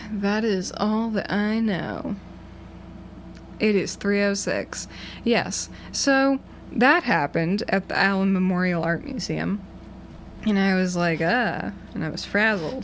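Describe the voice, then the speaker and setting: Speaking very slowly with long, frequent pauses, a woman with an American accent uses a medium pitch and ordinary pitch variation. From Massachusetts. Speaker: college radio DJ. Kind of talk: casual chat. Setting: radio studio. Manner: rambling.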